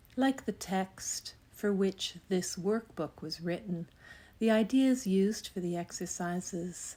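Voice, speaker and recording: Over a silent background in a very clean recording, a woman speaks at a very slow pace in a dark, mellow, gentle, calm tone with ordinary pitch variation. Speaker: spiritual text reader. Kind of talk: meditative spiritual reading.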